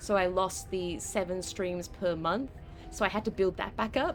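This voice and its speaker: Over background music, a woman with an Australian accent speaks at a medium pitch. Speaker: video game streamer. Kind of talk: casual chat. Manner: halting.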